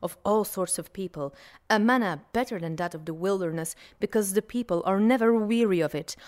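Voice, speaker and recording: Dutch accent from a woman, medium pitch, ordinary pitch variation and a moderate pace, in a very clean recording over a silent background. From Belgium, Flanders. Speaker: food historian. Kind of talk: interview.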